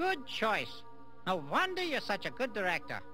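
A cartoonish character voice at a fairly high pitch goes at a moderate pace, with clear music in the background. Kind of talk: comic puppet voice. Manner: eccentric, self-satisfied.

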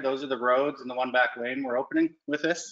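A man speaks against a quiet background. Some room echo can be heard. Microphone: video call.

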